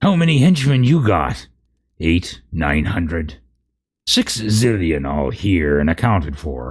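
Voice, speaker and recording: A man's put-on character voice, raspy and very deep, at a fairly slow pace. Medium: read story.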